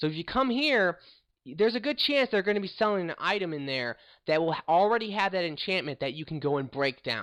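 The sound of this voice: A man talks at a fairly quick pace, his pitch high for a man. His tone is fairly bright, with big pitch swings.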